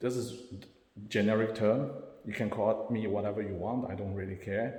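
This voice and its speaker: In a room with audible echo, a man speaks somewhat breathily with fairly even intonation. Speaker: self-described spiritual channeler. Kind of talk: personal monologue to camera. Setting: self-recorded on camera. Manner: halting.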